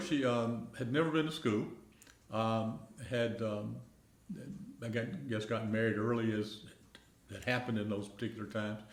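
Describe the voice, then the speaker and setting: Over noticeable background noise and audible room echo, a man with a Middle Tennessee accent speaks at a moderate pace with long, frequent pauses. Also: medium pitch for a man, ordinary pitch variation. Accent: US Southern, Middle Tennessee. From Middle Tennessee (rural, near Pulaski). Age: 70s. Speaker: retiree. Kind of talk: oral history interview. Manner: halting, many fillers.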